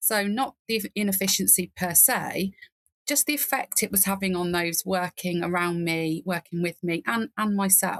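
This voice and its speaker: A woman talks at a moderate pace and medium pitch with ordinary pitch variation, her loudness very even and the sound dry and close with no echo. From England. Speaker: nurse and nursing informatics leader. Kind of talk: podcast interview. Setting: remote call from garden reading nook.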